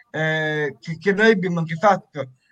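Here a man speaks at a fairly slow pace. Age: 20s. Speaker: charity member with Down syndrome, amateur actor. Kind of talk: interview. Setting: video call from seaside home. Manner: halting, repeated syllables.

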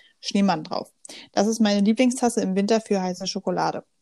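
Dry and close with no echo, a woman's dark, mellow voice sits at a fairly high pitch with fairly even intonation. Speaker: podcast co-host, student. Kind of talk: casual chat.

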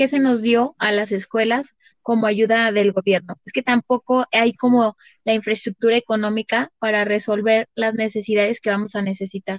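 A woman with an unremarkable speaking voice, fairly high in pitch, at a moderate pace and with fairly even intonation. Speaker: kindergarten teacher. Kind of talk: casual chat.

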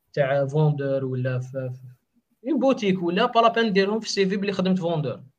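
This man talks with lively intonation. His pace is fairly quick. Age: 20s. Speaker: web developer. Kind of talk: casual interview.

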